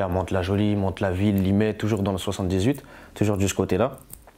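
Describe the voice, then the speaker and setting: Over noticeable background noise, a man speaks fairly quickly with a fairly low pitch and fairly even intonation. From France, Paris region (Yvelines) and south. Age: 20s. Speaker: rapper. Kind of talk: interview. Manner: casual, repetitive street slang.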